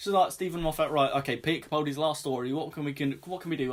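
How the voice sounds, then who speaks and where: A man's fairly high voice with ordinary pitch variation, with a British accent. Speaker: YouTuber reviewing TV. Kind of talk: review rant to camera. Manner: animated.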